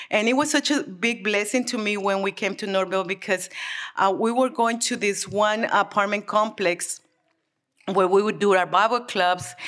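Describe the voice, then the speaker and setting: At a moderate pace, a woman talks in an unremarkable speaking voice of medium pitch with ordinary pitch variation. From Mexico City, Mexico; moved to US at 11. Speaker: church member. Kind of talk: testimony. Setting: church.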